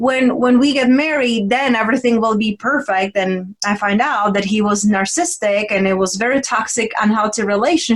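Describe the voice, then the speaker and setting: A woman at a fairly quick pace with hardly any pauses and ordinary pitch variation, over noticeable background noise. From Czech Republic. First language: Czech. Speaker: women's transformational coach. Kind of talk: interview conversation.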